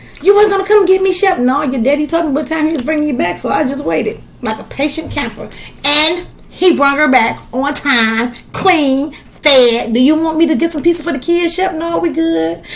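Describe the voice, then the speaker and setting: A woman's high, animated voice with lively intonation at a moderate pace, with audible room echo. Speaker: podcast host. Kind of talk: casual chat.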